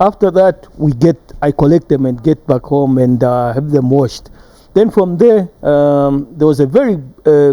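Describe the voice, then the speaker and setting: A man with a fairly high pitch and dark, mellow tone, at a moderate pace with ordinary pitch variation. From Zambia, Livingstone and Lusaka. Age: 60s. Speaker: retired footballer. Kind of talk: TV interview.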